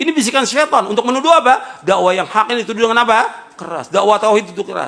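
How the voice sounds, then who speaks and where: A man's high-pitched, raised and projected voice at a very fast pace. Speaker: Islamic preacher. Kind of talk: sermon. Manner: loud; emphatic, rhetorical questions.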